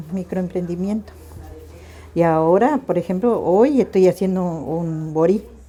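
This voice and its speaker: Noticeable background noise sits behind a woman's fairly low voice. She speaks at a fairly slow pace. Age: 60s. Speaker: home cook and market vendor. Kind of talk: casual interview talk.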